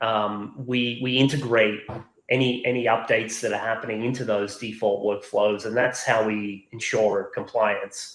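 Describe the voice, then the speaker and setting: Medium in pitch and flat in intonation, a man's monotone voice moves at a moderate pace. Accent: slight Australian. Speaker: software company executive. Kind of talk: webinar interview. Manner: halting, many fillers and repeats.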